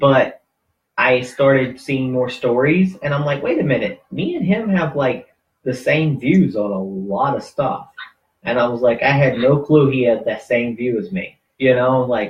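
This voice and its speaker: A man with a Southern US accent, fairly high-pitched, at a fairly slow pace with ordinary pitch variation. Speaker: radio host, activist group founder. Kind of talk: casual chat. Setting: live internet radio stream.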